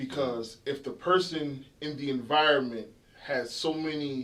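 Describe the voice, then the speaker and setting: A man with a South Carolina Lowcountry accent at a fairly high pitch and a fairly slow pace. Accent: Gullah Geechee, South Carolina Lowcountry. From Charleston, South Carolina. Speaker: dentist. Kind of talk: interview answer.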